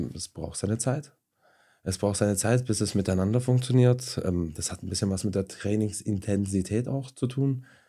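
On a very clean recording with a silent background, a man speaks in a dark, mellow tone. His pitch is fairly low, with ordinary variation. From Stuttgart, Germany. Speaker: sporting director, restaurateur. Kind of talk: casual chat. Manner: hesitant, many fillers.

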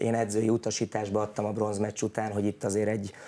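The tone is dark and mellow, the intonation monotone and flat, and the pace fairly quick. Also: man. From Hungary. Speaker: national team coach. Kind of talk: interview. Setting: studio. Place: studio. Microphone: lapel.

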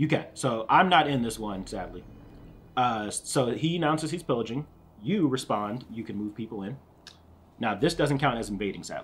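A man with a plain, everyday voice talks at a medium pitch and a moderate pace, with lively intonation. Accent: American. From US Northeast, Philadelphia. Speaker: board game channel host. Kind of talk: casual chat while teaching a board game.

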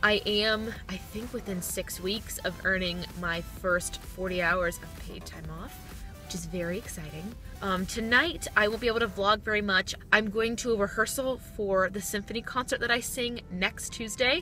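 A woman talks at a moderate pace with ordinary pitch variation and big swings in loudness. The sound is dry with no echo, and clear music plays in the background. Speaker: vlogger. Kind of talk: casual vlog chat. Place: car.

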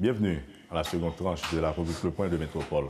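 A man speaks in a dark, mellow tone over light background noise. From Haiti. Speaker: radio and TV news host; TV show host. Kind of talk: interview. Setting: studio. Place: studio. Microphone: lapel.

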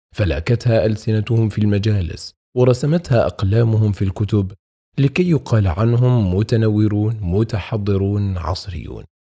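A man talks at a fairly slow pace in a fairly low, somewhat breathy voice with a dark, mellow tone. His pitch varies in an ordinary way, and the recording is very clean with a silent background. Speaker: audiobook narrator. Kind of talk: audiobook reading of Islamic text. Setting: studio. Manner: clear, correct classical Arabic pronunciation.

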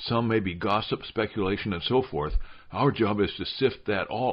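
A passage is being read aloud in a natural voice.

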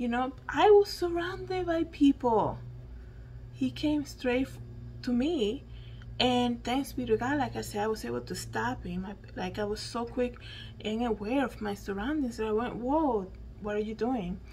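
A speaker with a Spanish accent talks at a fairly slow pace over light background noise. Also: woman. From Dominican Republic. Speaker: YouTuber and podcaster; YouTuber, podcaster. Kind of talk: solo news commentary monologue. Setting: at home. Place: home room. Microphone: studio mic.

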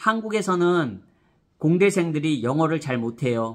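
Against a quiet background, a man with a fairly high pitch speaks at a fairly slow pace using lively intonation. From South Korea. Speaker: education YouTuber; vlogger giving career advice. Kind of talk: vlog monologue to camera. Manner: animated. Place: home room. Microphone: phone near.

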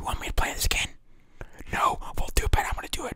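A man is whispering. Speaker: ASMR hobby creator. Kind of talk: ASMR whisper video. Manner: whispered. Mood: playful, joking. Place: home room. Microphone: studio mic.

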